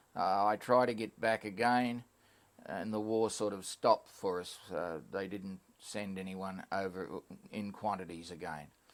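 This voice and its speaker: With an Australian accent, a man talks at a fairly slow pace, his fairly low pitch following a fairly even intonation. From Queensland, Australia. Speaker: war veteran. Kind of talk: oral history interview. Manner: halting.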